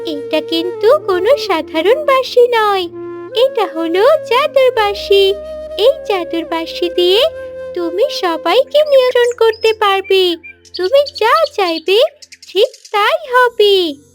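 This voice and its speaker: A cartoonish character voice with an extremely high pitch speaks at a fairly slow pace. Faint music plays in the background. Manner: warm, gentle.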